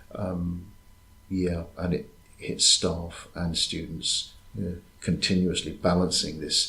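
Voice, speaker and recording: A man with an English accent and a very deep, low pitch, with audible room echo. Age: 60s. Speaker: university lecturer. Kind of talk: interview. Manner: hesitant.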